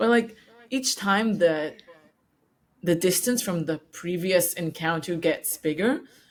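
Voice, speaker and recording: Very slowly and with long, frequent pauses, a woman with a non-native accent and a fairly low voice speaks with lively intonation. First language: not English. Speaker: podcast host interviewing founders. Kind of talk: casual interview chat. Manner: hesitant, many fillers.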